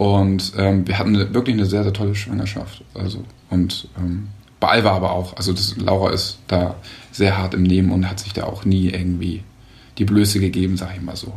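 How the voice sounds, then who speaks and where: In a room with audible echo, a man with a very deep, low pitch and a somewhat breathy voice speaks at a moderate pace with monotone, flat intonation. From Hamburg, northern Germany. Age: 30s. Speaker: father and husband. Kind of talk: casual chat.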